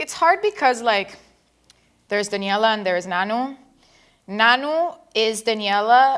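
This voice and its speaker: With a slight Argentine accent, a woman speaks at a fairly slow pace with long, frequent pauses and lively intonation, on a very clean recording with a silent background. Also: fairly high pitch for a woman. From Argentina. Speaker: singer. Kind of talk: casual interview.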